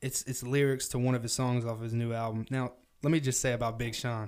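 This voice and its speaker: A man with a Southern US accent and fairly even intonation. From US South. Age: 20s. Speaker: podcast host. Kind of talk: casual chat.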